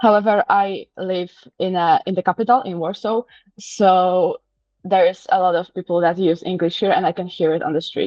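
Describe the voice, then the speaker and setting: A woman speaks with a Polish accent at a medium pitch, with ordinary pitch variation. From Poland. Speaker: interviewee. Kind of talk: casual interview. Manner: halting, with self-corrections.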